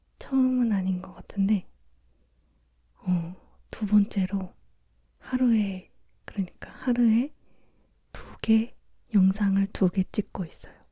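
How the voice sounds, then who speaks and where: A soft-spoken voice moves at a moderate pace, broken by long, frequent pauses. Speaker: ASMR creator. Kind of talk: casual chat.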